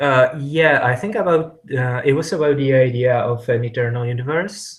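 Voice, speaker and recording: Speaking at a moderate pace with a non-native accent, a man uses a fairly high pitch and ordinary pitch variation. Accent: foreign. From Czech Republic. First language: Czech. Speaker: IT developer. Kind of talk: casual chat. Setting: video call.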